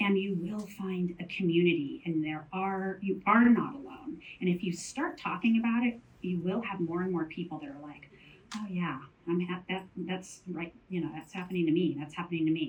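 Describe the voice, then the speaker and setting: Over noticeable background noise, a woman of medium pitch speaks at a moderate pace, her pitch varying in an ordinary way and her loudness swinging widely. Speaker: panelist on mental health in menopause. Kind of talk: panel talk.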